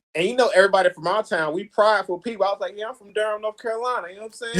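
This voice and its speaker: Someone talks at a very fast clip in a Southern US accent. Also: man. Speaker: actor. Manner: accent stronger when loud.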